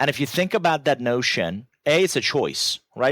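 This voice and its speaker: A man with a Persian accent speaks at a fairly quick pace in a fairly high pitch, on a very clean recording with a silent background and a dry, close sound with no echo. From Iran. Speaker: business author and growth strategist. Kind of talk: podcast interview.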